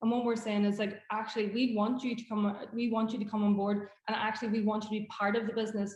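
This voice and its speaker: Noticeable background noise sits behind a woman whose voice has a fairly high pitch. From Northern Ireland, Derry. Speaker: hospitality startup founder. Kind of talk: pitch Q&A.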